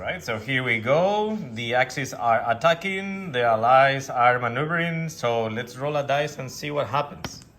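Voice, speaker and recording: Over noticeable background noise, a man with a Spanish accent talks at a moderate pace and medium pitch, his animated tone, lively intonation and big swings in loudness running on with hardly any pauses. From Spain. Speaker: tabletop wargaming youtuber. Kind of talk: battle report commentary. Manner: casual, animated.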